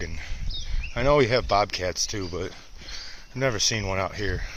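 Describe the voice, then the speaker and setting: A man speaks at a moderate pace with ordinary pitch variation, with noticeable background noise behind him. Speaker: outdoor vlogger. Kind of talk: casual vlog narration while hiking. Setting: outdoors in the woods. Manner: loud.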